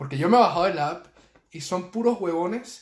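A man speaks with a Venezuelan accent. His voice is somewhat breathy, with ordinary pitch variation. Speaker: podcast co-host, university student. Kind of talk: casual chat.

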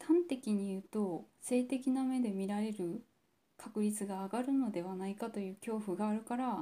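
A woman's fairly high-pitched, somewhat breathy voice has a dark, mellow tone and ordinary pitch variation. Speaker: podcast host. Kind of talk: personal monologue. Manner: deliberately low-energy, subdued delivery; halting, many pauses and fillers.

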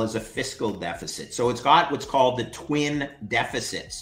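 A man with a Canadian accent speaks at medium pitch with ordinary pitch variation amid noticeable background noise. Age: 50s. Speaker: finance expert. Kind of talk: interview.

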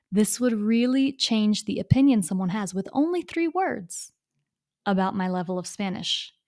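A woman with a fairly high pitch and lively intonation speaks in a normal speaking voice. The recording is very clean, with a silent background. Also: moderate pace. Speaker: English teacher. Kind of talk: podcast lesson.

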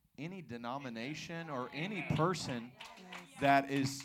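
A man's fairly high voice with ordinary pitch variation, set against noticeable background noise. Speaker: pastor. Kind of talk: church testimony interview. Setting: church with congregation. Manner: animated.

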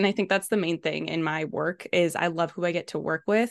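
This woman talks at a very fast pace with a fairly low pitch and a Western Canadian accent. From Canada, British Columbia. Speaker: Facebook and Instagram ads specialist. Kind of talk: podcast interview.

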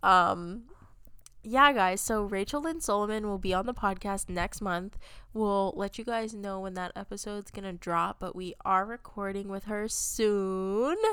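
Bright, sharp female voice with ordinary pitch variation. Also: medium pitch for a woman, fairly slow pace. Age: 20s. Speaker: book podcast co-host. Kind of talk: casual chat. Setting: video call. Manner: soft-spoken.

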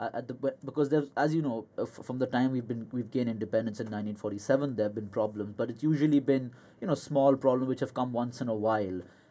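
Hardly pausing, a man talks at a very fast pace in a dark, mellow tone, keeping a medium pitch and fairly even intonation. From India. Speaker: student. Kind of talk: casual interview. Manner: hesitant, many fillers.

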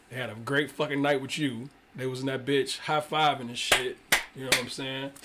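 The speaker talks at a fairly quick pace in a monotone, flat intonation over noticeable background noise. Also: man, fairly high pitch for a man. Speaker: podcast co-host. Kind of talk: casual chat.

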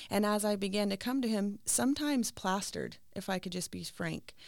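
A woman with an American accent speaks at a moderate pace and a medium pitch in a very clean recording with a silent background. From California high desert. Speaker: podcast guest. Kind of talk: casual chat. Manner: halting.

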